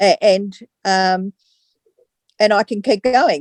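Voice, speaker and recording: At a fairly slow pace, a woman with a fairly high pitch and a dark, mellow tone is heard in a dry, close recording with no echo. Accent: Australian. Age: 70s. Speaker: customer giving testimonial. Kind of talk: testimony. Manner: halting.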